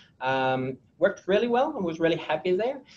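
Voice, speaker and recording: Here a man speaks with a French accent. His pitch variation is ordinary. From France. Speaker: technology executive. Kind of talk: interview. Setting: webinar. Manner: halting, many fillers.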